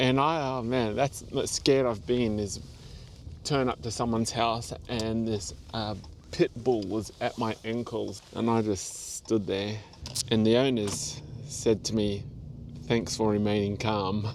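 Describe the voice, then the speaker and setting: A man with an Australian accent speaks at a fairly slow pace, medium in pitch with ordinary pitch variation. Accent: Australian, noticeable twang. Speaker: seasonal delivery driver and vlogger. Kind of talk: casual vlog monologue.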